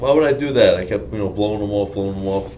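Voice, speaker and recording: In an American accent, a man talks with fairly low pitch and lively intonation. The room echo is audible and the background noise is noticeable. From Long Island, New York. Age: 20s. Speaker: bodybuilding athlete. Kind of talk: casual Q&A interview.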